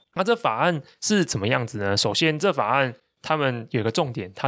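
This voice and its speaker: A man with a Taiwanese accent at medium pitch, lively in intonation, on a very clean recording with a silent background. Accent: Taiwanese Mandarin. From Taiwan, Taichung. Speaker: tech and business newsletter writer, podcast host. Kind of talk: casual conversational explainer of tech news.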